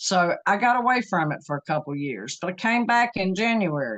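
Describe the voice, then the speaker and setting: A woman with a normal speaking voice talks at a moderate pace. Her intonation is lively. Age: 60s. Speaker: program participant sharing health story. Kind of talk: interview testimony.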